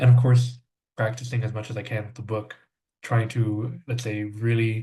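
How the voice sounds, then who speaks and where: A man with an American accent speaks at a moderate pace and medium pitch. His somewhat breathy voice stays monotone, with flat intonation. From South Texas. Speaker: language student, English teacher. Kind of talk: podcast interview. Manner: many filler words, hesitant.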